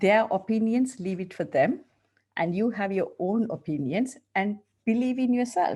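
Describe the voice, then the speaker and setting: With a strong Sri Lankan accent, the speaker has a dark, mellow, somewhat breathy tone, lively intonation and a moderate pace against a quiet background. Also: woman. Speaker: dentist and coach. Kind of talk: interview.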